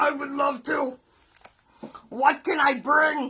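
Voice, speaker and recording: A woman's put-on character voice, gruff and high-pitched, at a very slow pace. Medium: read story. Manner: gruff, threatening, then sad.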